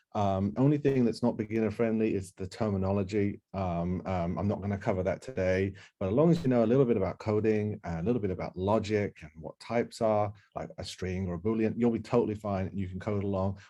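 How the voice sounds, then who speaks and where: Against a quiet background, a man rattles along at a very fast pace with hardly any pauses, his dark, mellow tone fairly low in pitch with ordinary pitch variation. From UK. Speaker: software developer and workshop instructor. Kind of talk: online workshop presentation. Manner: many filler words and repetitions.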